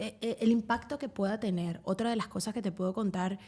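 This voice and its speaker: Her voice somewhat breathy and dark and mellow in tone, a woman speaks with fairly even intonation. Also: very clean recording, silent background. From Venezuela. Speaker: sports journalist. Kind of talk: casual interview chat.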